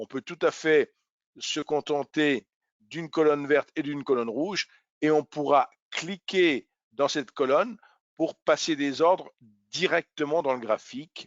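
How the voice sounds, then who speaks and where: At a fairly slow pace, a man with a fairly high pitch and ordinary pitch variation speaks. He leaves long, frequent pauses. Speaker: trading educator. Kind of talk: webinar tutorial. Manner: hesitant with fillers.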